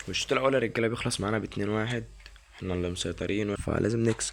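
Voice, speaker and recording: A quiet man with an Egyptian accent, fairly low in pitch and at a fairly quick pace. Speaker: gaming YouTuber. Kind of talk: gameplay commentary. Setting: at home, recording gameplay. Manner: quiet, lowered voice; animated.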